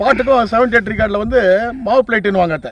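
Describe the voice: This man's voice sits high in pitch. Its rise and fall is ordinary.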